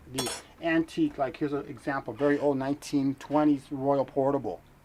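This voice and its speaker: A man with an American accent, fairly high-pitched, fairly even in intonation and fairly quick in pace. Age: 40s. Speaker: typewriter repairman. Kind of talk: documentary interview.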